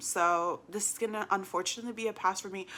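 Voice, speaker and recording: Bright and sharp in tone, a woman speaks at a fairly quick pace. Her pitch is medium, with ordinary variation. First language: not English. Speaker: book youtuber. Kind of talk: casual vlog chat.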